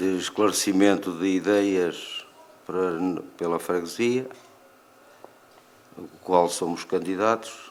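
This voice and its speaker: Very slow and with long, frequent pauses, a man speaks in a very deep, low pitch with fairly even intonation and big swings in loudness. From Válega, Ovar, northern Portugal. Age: 50s. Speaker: local election candidate. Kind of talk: political debate.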